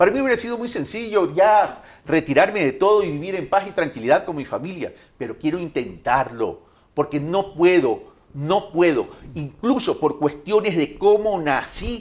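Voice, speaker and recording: This man speaks in a high pitch with lively intonation. His pace is moderate. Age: 60s. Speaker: presidential candidate. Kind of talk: interview.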